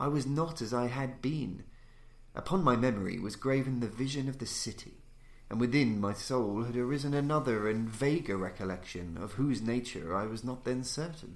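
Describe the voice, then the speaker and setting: An ordinary speaking voice from a man at a medium pitch, with lively intonation and a moderate pace. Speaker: audiobook narrator. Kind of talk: literary audiobook reading of a gothic horror story. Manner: formal, theatrical, ominous.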